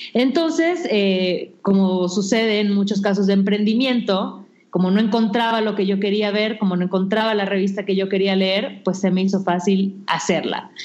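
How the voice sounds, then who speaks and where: A woman's fairly even intonation at very even loudness, with audible room echo. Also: medium pitch for a woman, moderate pace. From Mexico, Yucatán (Mérida). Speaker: digital magazine founder and editor. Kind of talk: interview.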